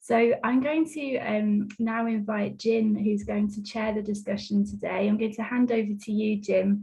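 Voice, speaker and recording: A woman with a dark, mellow, somewhat breathy tone speaks at a fairly high pitch and a moderate pace, her intonation fairly even and her speech hardly pausing. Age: 30s. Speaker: arts project manager, webinar host. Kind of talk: webinar introduction.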